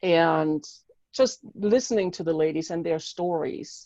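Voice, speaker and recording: Against a quiet background, a woman with a German accent speaks in a fairly low pitch with ordinary pitch variation, a dark, mellow tone and a dry, close sound with no echo. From Germany. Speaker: mindset coach and author. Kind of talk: interview. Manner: animated.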